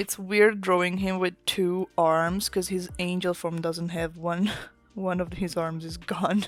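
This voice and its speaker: Over music in the background, a woman with an Italian accent speaks at a fairly slow pace and fairly low pitch. Her tone is relaxed and her intonation monotone and flat. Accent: Italian accent, self-noted pronunciation. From Italy. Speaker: artist and comic creator. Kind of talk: casual chat while drawing. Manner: relaxed, rambling.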